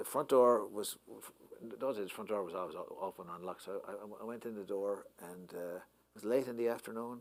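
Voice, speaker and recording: Music plays in the background as a man with an Irish accent talks at a fairly quick pace. His voice is medium-pitched with ordinary pitch variation. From Ireland. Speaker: poet and professor. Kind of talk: anecdote told to a live audience. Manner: hesitant, conversational.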